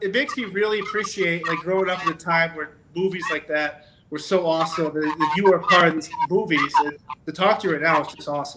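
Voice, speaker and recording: At a moderate pace, a man speaks in a high-pitched voice. Noticeable background noise runs underneath. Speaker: podcast host. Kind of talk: casual interview.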